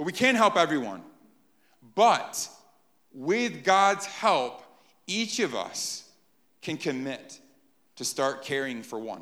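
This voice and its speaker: Over audible room echo, a man speaks at a very slow pace with long, frequent pauses, vocal fry, very wide pitch swings and a bright, sharp tone. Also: fairly high pitch for a man. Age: 30s. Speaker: pastor. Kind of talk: sermon.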